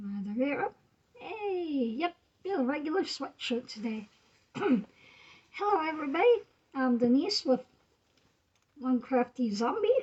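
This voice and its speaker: A woman's high voice with very wide pitch swings and long, frequent pauses. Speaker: crafting livestream host. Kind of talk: casual livestream chat. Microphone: slow connection.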